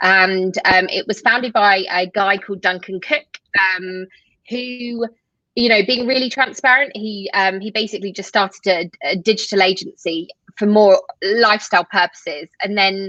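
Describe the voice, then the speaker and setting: Using a British accent, a woman speaks at a medium pitch with ordinary pitch variation and a moderate pace. The sound is dry and close, with no echo. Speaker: tech company co-founder. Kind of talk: interview.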